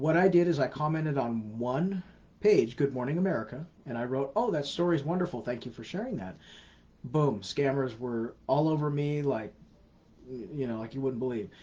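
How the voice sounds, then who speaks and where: A man with a fairly high pitch and a dark, mellow tone speaks at a moderate pace, somewhat breathy, with lively intonation. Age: 40s. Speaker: scam awareness educator. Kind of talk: live Q&A answering viewer questions. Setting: live stream on social media. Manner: casual, repetitive emphatic advice.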